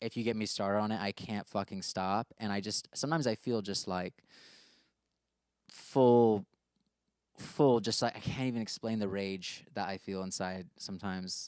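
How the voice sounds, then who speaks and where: A man with an American accent and a fairly low pitch speaks at a moderate pace with fairly even intonation and long, frequent pauses, the sound dry and close with no echo. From US, with much time in the UK. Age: 20s. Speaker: musician. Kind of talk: casual talk about his song lyrics. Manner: casual, many fillers and restarts.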